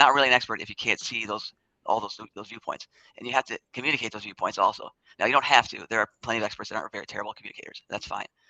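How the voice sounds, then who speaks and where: Bright and sharp, the voice races at a very fast pace with big swings in loudness, in a dry, close sound with no echo. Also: man, medium pitch for a man. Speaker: scientist. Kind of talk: casual chat.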